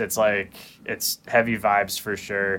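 A man with an American accent speaks at a moderate pace in a plain, everyday voice, his pitch fairly low. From Phoenix, Arizona. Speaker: guitarist. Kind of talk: casual chat.

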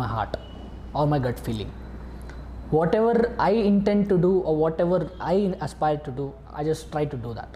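A man with a fairly high pitch talks at a moderate pace with lively intonation over noticeable background noise. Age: young. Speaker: youth facilitator, student. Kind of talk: interview.

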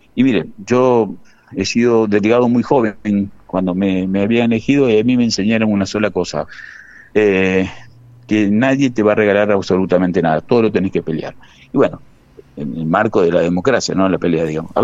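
In a normal speaking voice, a man talks at a fairly quick pace, his pitch fairly low with ordinary variation. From Argentina, Santa Fe province (Gálvez). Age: 50s. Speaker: bank workers' union leader. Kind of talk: radio interview.

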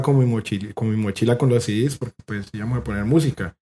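Talking at a fairly quick pace, a man with a Cali accent has a medium pitch and a dark, mellow tone. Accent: Colombian Caleño Spanish. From Colombia, Cali. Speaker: punk guitarist. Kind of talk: casual chat.

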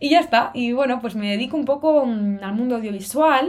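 A woman's voice with very wide pitch swings in a very clean recording with a silent background. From Cantabria, northern Spain. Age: 20s. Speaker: podcast host, university student. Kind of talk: solo casual podcast monologue. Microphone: good-quality microphone.

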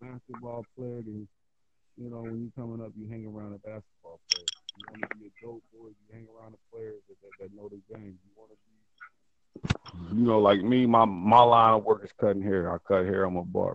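With an American accent and a normal speaking voice, a man talks at a moderate pace and a fairly low pitch, his intonation fairly even but his loudness swinging widely. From US Midwest, Ohio. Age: 30s. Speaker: street interviewee. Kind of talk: casual street interview.

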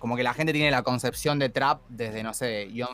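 Music plays in the background as a man speaks with an Argentine accent. His pitch variation is ordinary. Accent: Argentine Spanish (Rioplatense). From Argentina. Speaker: trap musician and freestyle rapper. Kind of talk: casual interview chat.

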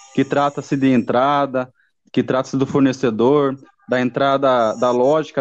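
A fairly slow pace from a man with an unremarkable speaking voice, his pitch fairly high. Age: 30s. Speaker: engineering student. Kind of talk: student class presentation.

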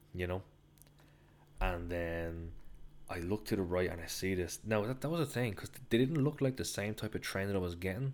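Speaking in a Dublin accent, a man uses a fairly low pitch with ordinary pitch variation at a moderate pace. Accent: Dublin Irish. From Ireland, Dublin. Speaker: travel podcaster. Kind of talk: solo travel storytelling. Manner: casual, rambling with fillers.

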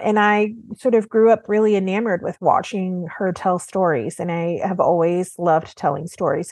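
A woman with an American accent speaks in a normal speaking voice at a medium pitch. She leaves hardly any pauses. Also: ordinary pitch variation, moderate pace. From Oklahoma, US. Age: 40s. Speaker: art market journalist. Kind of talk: interview conversation.

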